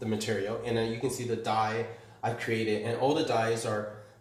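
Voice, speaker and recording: A man's medium-pitched voice comes through with noticeable background noise and audible echo from the room. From Taiwan, moved to Canada at about nine. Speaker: artist, printmaker and paper maker. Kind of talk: artist talk and gallery tour. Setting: art gallery, live-streamed. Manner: casual, halting with many fillers.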